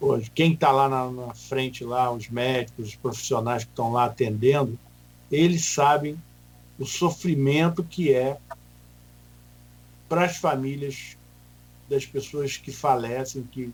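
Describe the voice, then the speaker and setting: Somewhat breathy and at medium pitch, a man speaks at a fairly slow pace with fairly even intonation, long, frequent pauses and big swings in loudness. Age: 60s. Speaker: hospital association president. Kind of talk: radio interview.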